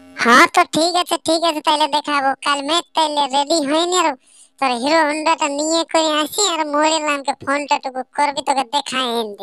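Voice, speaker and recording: In a cartoonish character voice, a woman speaks at a high pitch and a moderate pace with fairly even intonation. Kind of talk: cartoon village comedy. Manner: teasing, nosy.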